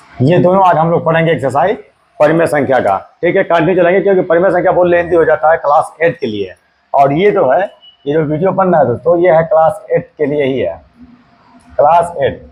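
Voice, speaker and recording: A man's high voice, with ordinary pitch variation, keeps a moderate pace. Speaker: math teacher. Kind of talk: tutorial. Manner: hesitant, repetitive.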